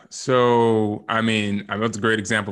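A man talks with a Californian accent in a flat monotone. The background is quiet. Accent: Californian American. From Southern California, Rancho Cucamonga. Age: 20s. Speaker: performance psychology trainer. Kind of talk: casual interview.

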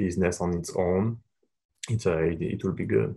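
With a French accent, a man talks in a very deep, low voice and ordinary pitch variation. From France, Paris. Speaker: sports agent. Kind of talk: casual interview.

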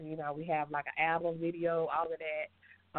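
A woman with a Southern US accent speaks in a fairly low pitch. Her intonation is monotone and flat, her pace moderate. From US South. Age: 30s. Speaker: singer. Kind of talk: interview. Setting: phone call.

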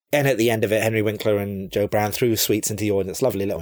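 Here is a man speaking. He has a London accent. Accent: southern English (London). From England, central London. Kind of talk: pre-recorded listener segment, casual reminiscence. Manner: halting, with filler pauses.

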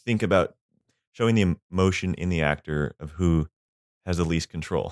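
A man's very deep, low voice with an American accent and fairly even intonation. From California. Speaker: film editor. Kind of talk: casual chat.

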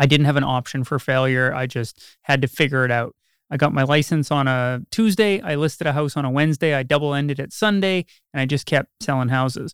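A man's normal speaking voice, fairly high in pitch and fairly quick in pace, with ordinary pitch variation, a dry, close sound without echo, and a very clean recording over a silent background: a normal speaking voice. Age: 30s. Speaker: realtor. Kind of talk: interview.

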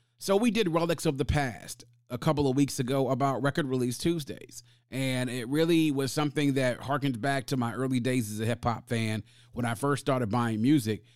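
In an unremarkable speaking voice, a man talks at a fairly quick pace with a medium pitch and ordinary pitch variation. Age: 40s. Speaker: podcast host. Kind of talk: solo podcast monologue.

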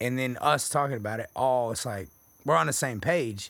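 Lively intonation and a fairly slow pace mark this speaker with an American accent, captured in a very clean recording with a silent background. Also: man. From Texas. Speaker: podcast co-host. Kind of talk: casual chat.

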